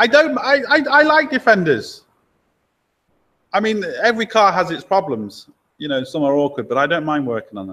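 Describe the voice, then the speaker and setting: A man with an English accent uses a raised, projected voice with a bright, sharp tone and a high pitch. His pitch swings very widely, his loudness shifts in big swings, and he leaves long, frequent pauses. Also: moderate pace. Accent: English accent, commented on by viewers. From England, Lincoln. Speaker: mechanic and channel host. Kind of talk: live stream chat answering viewer questions. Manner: casual, chatty.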